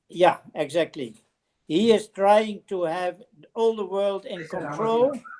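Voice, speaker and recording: Speaking in a Dutch accent at a very slow pace, a woman shows big swings in loudness and ordinary pitch variation. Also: medium pitch for a woman. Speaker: relative on family call. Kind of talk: casual chat. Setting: video call.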